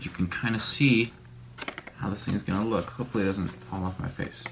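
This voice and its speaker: Over noticeable background noise, a man speaks quietly with a very deep, low pitch. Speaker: YouTuber making a costume mask. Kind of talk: casual tutorial vlog. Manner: quiet, hushed; hesitant, many fillers.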